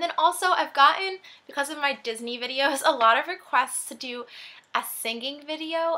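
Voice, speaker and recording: A woman speaks in a raised, projected voice with ordinary pitch variation. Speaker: fashion vlogger. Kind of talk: casual vlog chat. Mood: cheerful, giggly. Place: home room. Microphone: webcam.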